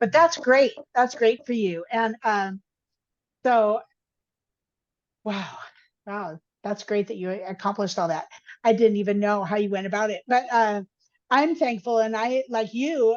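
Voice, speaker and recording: At a fairly slow pace, a woman speaks with a fairly high pitch and ordinary pitch variation. Long, frequent pauses break up her speech over a quiet background. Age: 60s. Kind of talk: casual interview chat.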